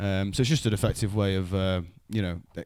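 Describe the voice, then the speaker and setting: A man with a fairly low pitch, in a Mancunian accent. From Manchester, England (Wythenshawe). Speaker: comedian and podcast host. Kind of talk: casual chat.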